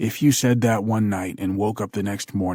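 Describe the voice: This is plain reading aloud. The delivery stays that way throughout.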